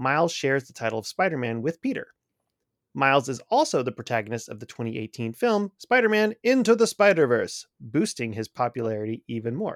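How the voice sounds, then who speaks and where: On a very clean recording with a silent background, a man talks at medium pitch and a fairly quick pace with very wide pitch swings. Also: dry, close sound with no echo. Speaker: podcast host. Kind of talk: casual chat.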